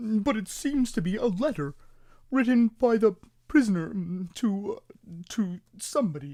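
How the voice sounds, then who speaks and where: The voice is a put-on character voice pitched fairly high. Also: moderate pace. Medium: read story. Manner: hesitant, stammering with "mm".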